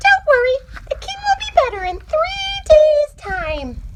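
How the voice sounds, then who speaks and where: Over light background noise, a squeaky put-on character voice at an extremely high pitch moves at a fairly slow pace. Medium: read story.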